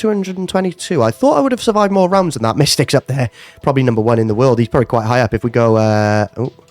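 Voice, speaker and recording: The man's British accent comes with very wide pitch swings, recorded in a dry, close sound with no echo. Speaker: gaming youtuber. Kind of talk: casual gameplay commentary. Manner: hesitant, many fillers.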